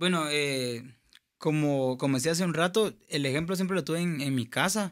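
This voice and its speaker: A man with a Guatemalan accent at a fairly slow pace, ordinary pitch variation, and a quiet background. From Guatemala (Escuintla). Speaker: singer and music producer; podcast guest. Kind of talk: testimony. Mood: earnest, reflective. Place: studio. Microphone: studio mic.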